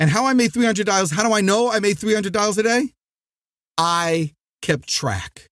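Speaking at a moderate pace with an American accent, a man uses a high pitch, ordinary pitch variation, an energetic tone and very even loudness, the sound dry and close with no echo. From New Jersey. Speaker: sales trainer and podcast host. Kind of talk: motivational podcast monologue. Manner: loud, energetic.

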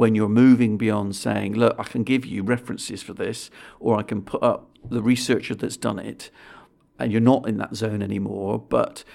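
Speaking with a British accent, a man with a medium-pitched, dark and mellow voice and some vocal fry keeps a moderate pace and fairly even intonation on a very clean recording with a silent background. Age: 50s. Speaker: think tank chief executive. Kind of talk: interview.

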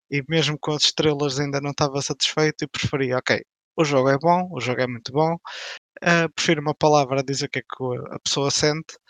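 An unremarkable speaking voice with ordinary pitch variation, against a quiet background, the sound dry and close with no echo. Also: man. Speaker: games blogger and critic. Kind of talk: casual panel discussion.

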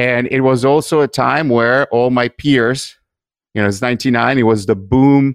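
A man's medium-pitched voice in an Italian accent, fairly even in intonation, with a dry, close sound, no echo and a quiet background. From Italy. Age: 50s. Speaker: podcast host, digital marketer. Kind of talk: interview.

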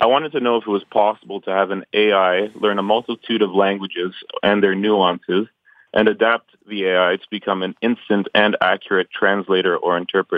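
Speaking fairly quickly with a Canadian accent, a man with an unremarkable speaking voice keeps a fairly low pitch and fairly even intonation. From Canada, Ontario. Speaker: caller. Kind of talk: call-in question.

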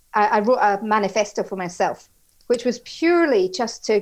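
In an Edinburgh accent, a woman speaks with a fairly high pitch. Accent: Scottish (Edinburgh). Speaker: HR executive. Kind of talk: interview.

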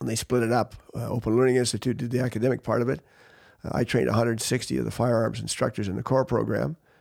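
Very fast male speech at medium pitch with a Canadian accent, fairly even intonation and vocal fry. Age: 70s. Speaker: champion sport shooter and firearms instructor. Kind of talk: casual interview.

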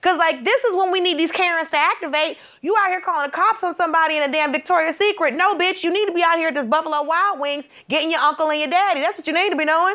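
A woman with an extremely high pitch and a bright, sharp, animated tone speaks very fast in a raised, projected voice, with hardly any pauses and ordinary pitch variation. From Georgia, US South. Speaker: comedian and correspondent. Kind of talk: comedic banter.

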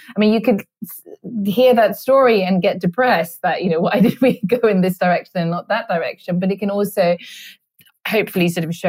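A woman with a Swedish accent talks at a fairly quick pace, her medium-pitched voice showing ordinary pitch variation. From Sweden. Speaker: author. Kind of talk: interview. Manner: halting.

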